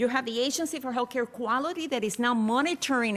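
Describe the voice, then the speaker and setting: Speaking very fast, a woman uses a high pitch with ordinary pitch variation. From Puerto Rico. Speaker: public health researcher. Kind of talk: conference presentation. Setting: conference forum webcast.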